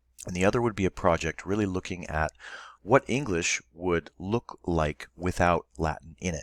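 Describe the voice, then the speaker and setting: His pitch is very deep and low. The man's delivery is fairly quick. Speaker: Latin teacher. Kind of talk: recorded online lesson. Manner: casual, with fillers.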